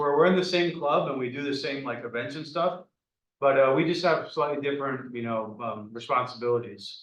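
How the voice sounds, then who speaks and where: A man at a fairly quick pace and fairly high pitch, with audible room echo. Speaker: student club vice president. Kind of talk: casual meeting talk. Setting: in-person meeting room. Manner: hesitant, many fillers.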